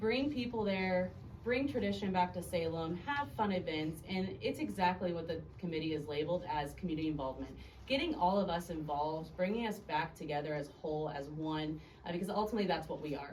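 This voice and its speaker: A woman's fairly low voice, fairly quick and lively in intonation, with audible room echo and noticeable background noise. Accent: American. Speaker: alderwoman, city council member. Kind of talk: city council meeting report. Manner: loud.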